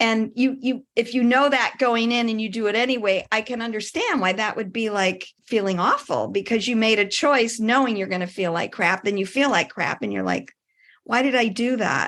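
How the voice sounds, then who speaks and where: A woman with a Midwestern American accent has a fairly high pitch. She keeps a moderate pace and ordinary pitch variation. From US Midwest. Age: 60s. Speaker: wellness coach and athlete. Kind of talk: casual interview chat.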